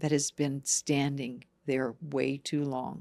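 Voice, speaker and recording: Speaking very slowly in a calm, gentle tone, a woman with a very deep, low voice is heard on a very clean recording with a silent background. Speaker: emotional healing guide. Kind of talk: guided meditation. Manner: calm, gentle, slow.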